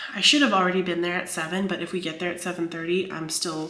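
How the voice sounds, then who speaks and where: A woman speaks at a medium pitch with fairly even intonation. There is audible room echo and noticeable background noise. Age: 30s. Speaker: writer and vlogger. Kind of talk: casual vlog talk. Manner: fast.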